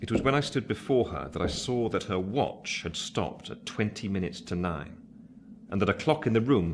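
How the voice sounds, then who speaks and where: Lively intonation and a moderate pace from a man in a normal speaking voice. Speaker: narrator. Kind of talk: radio play narration.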